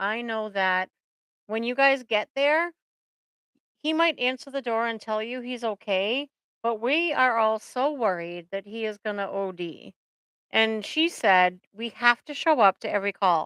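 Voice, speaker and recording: In a New England accent, a woman speaks at a fairly high pitch with a bright, sharp tone in a dry, close sound with no echo. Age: 50s. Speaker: therapist. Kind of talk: casual chat. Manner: animated.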